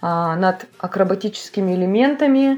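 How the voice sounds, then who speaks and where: A woman speaks at a very slow pace with a dark, mellow tone and a medium pitch. Her intonation is lively. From Russian Far East, Vladivostok. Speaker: dance school director and choreographer. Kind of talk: interview.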